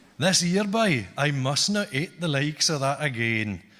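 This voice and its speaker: Speaking at a fairly slow pace, a man in an Orcadian accent uses lively intonation. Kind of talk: poetry reading in dialect.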